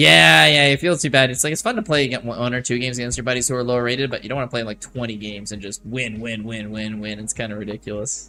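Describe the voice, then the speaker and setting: Over noticeable background noise, a man with a medium pitch talks at a very fast pace with hardly any pauses and ordinary pitch variation. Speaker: chess streamer. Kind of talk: live stream chat while playing. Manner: casual, joking.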